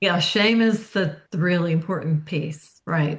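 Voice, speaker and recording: A woman's voice comes across somewhat breathy. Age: 60s. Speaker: author. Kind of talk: interview. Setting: podcast.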